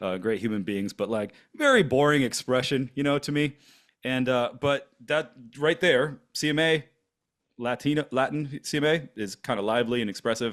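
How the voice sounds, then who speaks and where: The recording is very clean, with a silent background. A man speaks at a moderate pace and medium pitch, with ordinary pitch variation. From Florida, US (born in Germany, moved at six). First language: German. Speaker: podcast co-host. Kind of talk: casual chat. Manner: halting, many fillers.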